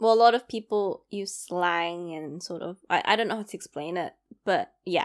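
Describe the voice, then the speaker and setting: A woman with a London accent talks at a moderate pace and medium pitch, her pitch varying an ordinary amount and her loudness swinging widely, on a very clean recording with a silent background. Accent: London accent, often mistaken for Australian. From East London. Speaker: podcast host. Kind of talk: solo podcast monologue, casual chat. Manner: chatty, rambling, self-deprecating.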